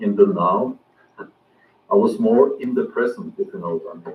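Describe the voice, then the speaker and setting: This is a man speaking. He has a Norwegian accent. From Norway. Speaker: outdoor vlogger. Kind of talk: casual vlog monologue. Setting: outdoors in woods. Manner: halting, many fillers.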